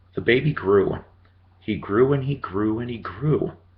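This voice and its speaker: There is some breathiness in a man's voice. He talks fairly slowly, his intonation lively. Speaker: grandparent reading to grandson. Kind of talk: children's book read-aloud with casual asides. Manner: warm, folksy.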